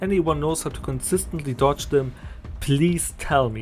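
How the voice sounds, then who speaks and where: A man speaks with a German accent. Music plays behind him. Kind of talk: gaming video essay narration.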